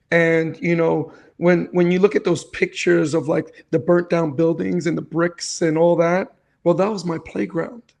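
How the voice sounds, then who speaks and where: A man with a New York accent, high-pitched, with ordinary pitch variation and a moderate pace. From New York City, South Bronx. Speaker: cancer survivor and real estate investor. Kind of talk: interview testimony.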